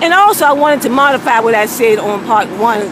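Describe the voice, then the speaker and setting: A woman talks in an animated tone while noticeable background noise carries on around her. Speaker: video blogger. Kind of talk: casual monologue. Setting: outdoors. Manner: loud.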